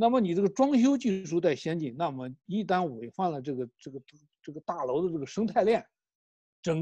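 This man's voice is high-pitched, with a dark, mellow tone and very wide pitch swings. He speaks at a moderate pace. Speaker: political commentator. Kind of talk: casual discussion. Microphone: too quiet.

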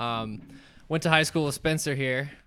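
A bright, sharp tone with an American accent and fairly even intonation. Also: man. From North Carolina, Raleigh. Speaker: musician. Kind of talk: casual chat.

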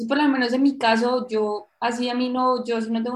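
A woman talks fairly quickly in a fairly high voice with flat, monotone intonation. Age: 20s. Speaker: entrepreneur, company founder. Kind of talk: radio interview.

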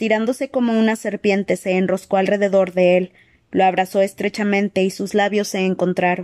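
Reading voice, unforced, its intonation mostly level

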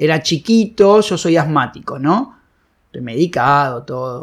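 A man speaks with a Rioplatense accent at a fairly high pitch. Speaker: film director, actor and comedian. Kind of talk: casual interview chat. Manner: halting, with repetitions.

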